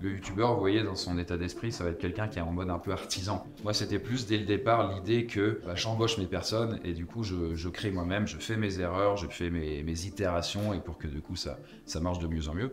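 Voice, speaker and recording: Someone speaks at a fairly quick pace with hardly any pauses and ordinary pitch variation, with audible room echo. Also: man, very deep, low pitch for a man. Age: 30s. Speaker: YouTuber and entrepreneur. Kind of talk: casual talk to participants.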